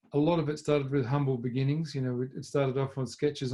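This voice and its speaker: A man's medium-pitched voice with an Australian accent and monotone, flat intonation. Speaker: motor racing team principal. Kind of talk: talk to a club audience. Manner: halting, many fillers.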